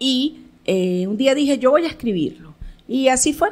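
A woman speaks with lively intonation. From Caracas, Venezuela; Venezuela. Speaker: theatre director and producer; interview guest. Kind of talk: radio interview. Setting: radio studio. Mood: proud, reflective. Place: studio. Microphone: studio mic.

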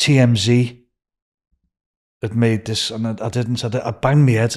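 A man at medium pitch, slightly mellow in tone, with little pitch movement and a fairly slow pace.

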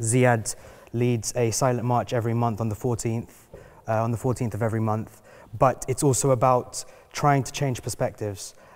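In a London accent, a man speaks at a medium pitch with flat, monotone intonation. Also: moderate pace. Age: young. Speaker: fire survivor; panelist. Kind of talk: panel discussion. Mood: earnest, serious. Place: hall.

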